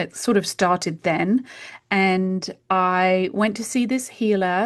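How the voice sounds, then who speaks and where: The speaker is a woman in a British accent. Behind her, the background is quiet. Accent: British accent, kept after years in US. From UK. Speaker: homeopath. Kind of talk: interview conversation.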